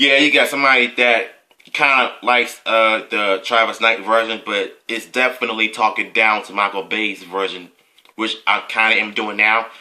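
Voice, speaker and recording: A man with an American accent, bright and sharp in tone, with fairly even intonation at a moderate pace. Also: medium pitch for a man. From US, Washington DC area. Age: 20s. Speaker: YouTube movie commentator. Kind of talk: casual commentary, reading reviews. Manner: halting, many fillers.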